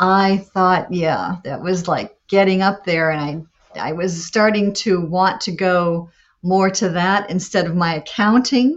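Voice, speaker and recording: A woman has an unremarkable speaking voice at medium pitch, speaking at a fairly slow pace. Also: fairly even intonation. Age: 60s. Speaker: adult performer. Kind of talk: interview.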